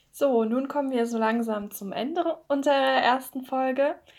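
On a very clean recording with a silent background, a woman speaks at a high pitch. Her pace is fairly slow, and her pitch varies in an ordinary way. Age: 20s. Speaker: podcast host, psychology student and poet. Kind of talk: casual chat; scripted narration.

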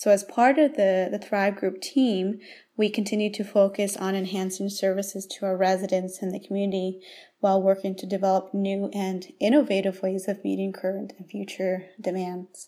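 A woman at medium pitch uses a dark, mellow tone and fairly even intonation, her loudness swinging widely. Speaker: long-term care recreation and volunteer manager. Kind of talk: interview. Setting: studio-like sit-down at the care home. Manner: fast.

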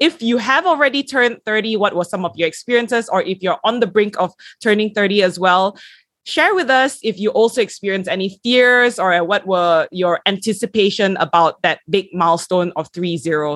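In a normal speaking voice, a woman talks at a medium pitch and moderate pace with lively intonation. The sound is dry and close with no echo, and the recording is very clean with a silent background. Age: 20s. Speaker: podcast host. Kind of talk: casual chat.

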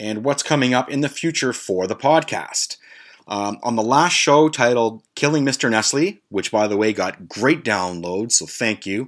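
At a moderate pace, a man speaks in an unremarkable speaking voice at a medium pitch. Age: 40s. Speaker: solo podcast host. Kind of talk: casual comedic monologue. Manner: casual, filler-heavy.

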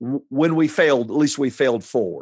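A man with an unremarkable speaking voice talks at a moderate pace and medium pitch, recorded in a dry, close sound with no echo. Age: 50s. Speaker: pastor. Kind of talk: interview.

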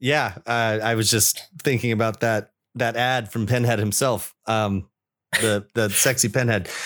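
A man with a medium pitch speaks at a fairly slow pace. The recording is very clean, with a silent background. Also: very even loudness. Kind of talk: casual chat. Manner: enthusiastic, informal.

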